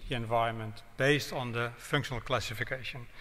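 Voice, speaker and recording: A bright, sharp-toned man with a Dutch accent. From Netherlands. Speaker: road safety professor; guest lecturer. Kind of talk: public lecture; lecture. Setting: town hall with audience. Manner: hesitant, with fillers. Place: hall. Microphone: podium.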